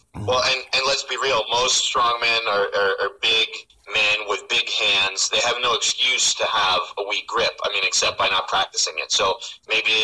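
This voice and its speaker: A man with an American accent is heard through noticeable background noise. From New York. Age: 40s. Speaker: armlifting official and strength athlete. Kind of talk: casual interview.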